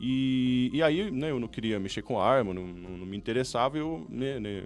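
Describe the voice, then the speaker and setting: Over music in the background, the speaker talks at a moderate pace with a German accent and lively intonation. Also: man. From Germany. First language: German (speaking Portuguese). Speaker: business consultant. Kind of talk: podcast interview. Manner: halting, many fillers.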